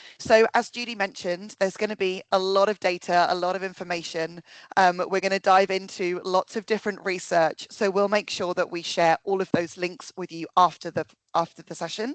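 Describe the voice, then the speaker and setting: Over a dry, close sound with no echo, a woman talks at medium pitch and a fairly quick pace with monotone, flat intonation. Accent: British. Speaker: workplace consultant, psychologist. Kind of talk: webinar presentation. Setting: video call webinar.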